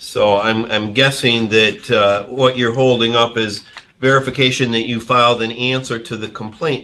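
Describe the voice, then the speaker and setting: A man speaks in a normal speaking voice at a medium pitch, his intonation fairly even. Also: moderate pace. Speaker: judge. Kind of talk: courtroom ruling from the bench.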